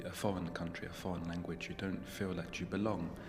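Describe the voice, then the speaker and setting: A soft-spoken man with a British accent and a very deep, low pitch speaks in a calm tone at a moderate pace. His intonation is monotone and flat, with music in the background. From England. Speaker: writer. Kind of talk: interview answer. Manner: soft-spoken, calm.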